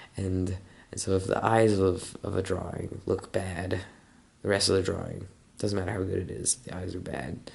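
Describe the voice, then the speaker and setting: A man mumbles at a very deep, low pitch and a moderate pace. His delivery is monotone and flat, and somewhat breathy. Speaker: amateur digital artist, video creator. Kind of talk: casual speed-draw commentary. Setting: home apartment. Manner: quiet, holding voice down early morning; tends to mumble, trying to enunciate.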